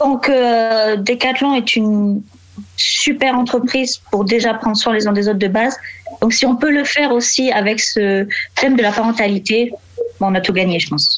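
With a normal speaking voice, a woman talks at a moderate pace and fairly high pitch, keeping very even loudness and ordinary pitch variation. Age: 20s. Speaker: warehouse logistics worker. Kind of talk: casual interview.

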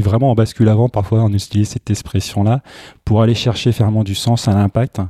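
A man's fairly low, dark, mellow voice in a very clean recording with a silent background and a dry, close sound with no echo. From Brittany. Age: 40s. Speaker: tech entrepreneur. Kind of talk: interview. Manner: halting.

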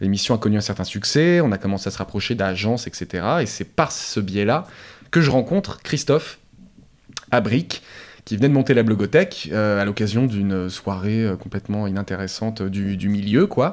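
Here a man speaks at a moderate pace in a fairly low pitch with ordinary pitch variation. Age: 30s. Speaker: music video director. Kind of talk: interview. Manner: halting, with many repetitions.

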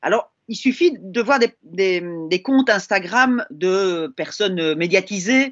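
A woman talks at a very slow pace. Her pitch is medium and her intonation lively. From Belgium. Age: 50s. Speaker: linguistics professor. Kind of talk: casual chat.

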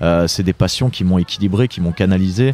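A man speaks at a moderate pace in a fairly low voice with lively intonation. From France, Drôme. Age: 20s. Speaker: author and event organiser. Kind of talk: interview. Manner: hesitant, with repetitions.

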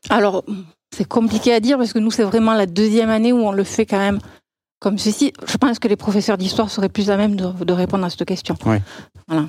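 Very fast and very even in loudness, a woman's medium-pitched voice moves with fairly even intonation. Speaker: school teacher. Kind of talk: casual interview.

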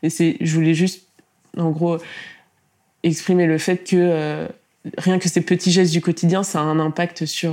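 A woman speaks in a fairly low pitch at a fairly slow pace. Her intonation stays monotone and flat. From France, Tours. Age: 20s. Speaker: content creator. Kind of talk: interview.

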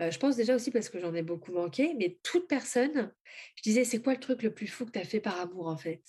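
A woman speaks at a moderate pace in a fairly high, somewhat breathy voice with lively intonation. The background is quiet. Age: 30s. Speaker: spiritual author and oracle creator. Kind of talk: interview testimony.

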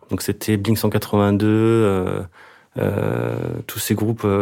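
A man's voice sits at a fairly low pitch with a dark, mellow tone. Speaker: singer-songwriter and record producer. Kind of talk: casual interview. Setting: home studio. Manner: halting.

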